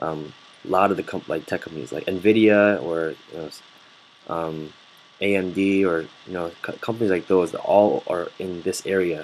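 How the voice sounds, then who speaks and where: With an American accent, a man speaks at a moderate pace in a very deep, low voice, keeping his intonation fairly even while his loudness swings widely. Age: 20s. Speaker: student. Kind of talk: casual chat. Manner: halting, many fillers.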